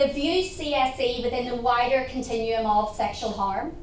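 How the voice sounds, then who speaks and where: Audible room echo surrounds a voice with a Northern Irish accent speaking at a moderate pace. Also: woman. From Northern Ireland. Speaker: research centre director. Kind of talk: conference talk.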